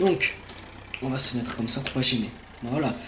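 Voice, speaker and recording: Amid noticeable background noise and audible room echo, a man talks at a medium pitch. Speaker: gaming YouTuber. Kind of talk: gameplay commentary, channel introduction. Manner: hesitant, many fillers.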